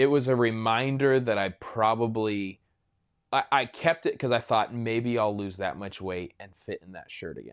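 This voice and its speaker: This man talks at a moderate pace with a medium pitch and ordinary pitch variation, an unremarkable speaking voice. The recording is very clean, with a silent background. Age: 30s. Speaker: pastor. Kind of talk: casual chat.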